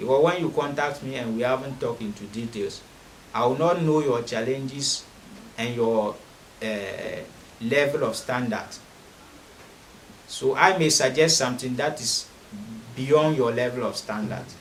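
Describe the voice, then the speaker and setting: Over noticeable background noise and audible room echo, a man talks at a moderate pace and medium pitch, with ordinary pitch variation and long, frequent pauses. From Ghana. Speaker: spiritualist offering money rituals. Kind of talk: promotional monologue.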